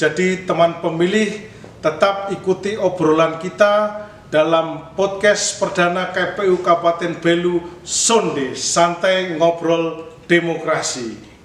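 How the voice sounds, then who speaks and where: A man with a Javanese accent and a high pitch speaks very slowly, with fairly even intonation and very even loudness. Noticeable background noise is present. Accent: Javanese-sounding Indonesian. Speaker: podcast host. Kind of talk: podcast interview.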